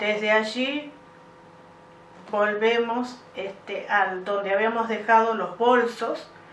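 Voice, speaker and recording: A woman's fairly high, fairly even voice at a very slow pace, with audible room echo and noticeable background noise. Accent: Argentine. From Argentina, Santa Fe province. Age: 60s. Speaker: UFO contact witness. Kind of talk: interview testimony. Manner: hesitant with many fillers.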